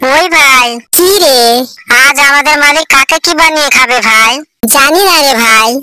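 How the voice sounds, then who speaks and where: This is a cartoonish character voice that sounds female, pitched high. It moves at a moderate pace. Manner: comic overacting.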